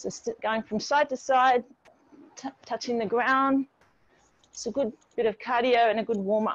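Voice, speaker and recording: With a high pitch and fairly even intonation, a woman talks at a moderate pace in a dry sound with no echo and a quiet background. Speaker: fitness instructor. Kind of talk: workout class instruction. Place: garden.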